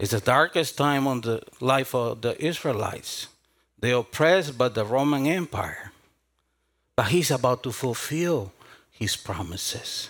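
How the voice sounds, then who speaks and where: In a Spanish accent, the speaker uses lively intonation at a fairly slow pace on a very clean recording with a silent background. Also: man, medium pitch for a man. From South America. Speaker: pastor. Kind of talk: sermon.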